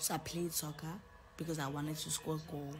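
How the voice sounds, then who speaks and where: A woman's very deep, low voice with monotone, flat intonation over light background noise. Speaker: live streamer. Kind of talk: casual live stream chat. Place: home room. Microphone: phone near.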